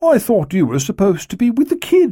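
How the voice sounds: A man performs a put-on character voice, high in pitch with very wide pitch swings and a dark, mellow tone with a slightly husky edge. The recording is very clean, the background silent.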